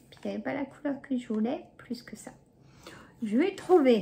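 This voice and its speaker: A woman talks with lively intonation at a moderate pace while noticeable noise carries on behind her. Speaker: YouTuber, shopping haul vlogger. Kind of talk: casual haul chat to camera. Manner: chatty, hesitant with many euh.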